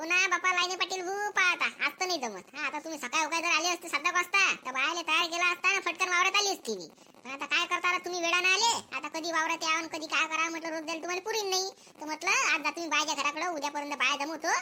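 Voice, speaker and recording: Doing a cartoonish character voice, a woman squeaks at an extremely high pitch and a fairly quick pace. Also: ordinary pitch variation. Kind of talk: village comedy cartoon voice. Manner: haggling, secretive.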